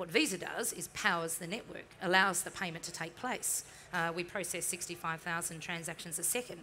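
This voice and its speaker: A woman's voice has a bright, sharp tone over light background noise. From New Zealand. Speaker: marketing executive; panelist. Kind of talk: interview on stage. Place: stage.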